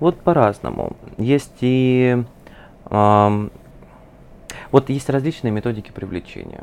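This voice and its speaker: Using long, frequent pauses, a man speaks at a very slow pace. His pitch is medium, with ordinary variation. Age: 20s. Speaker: psychologist. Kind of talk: interview.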